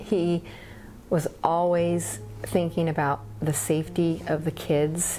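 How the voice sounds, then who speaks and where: A woman speaks at a very slow pace with an American accent. Her tone is dark and mellow. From Paradise, Northern California. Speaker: elementary school teacher. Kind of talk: testimony.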